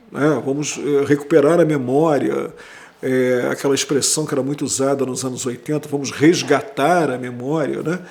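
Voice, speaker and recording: Noticeable background noise runs through the clip. The man's voice sits fairly high. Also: fairly even intonation, moderate pace. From Brazil, Rio de Janeiro. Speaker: history professor. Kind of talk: interview. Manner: conversational, with hesitations.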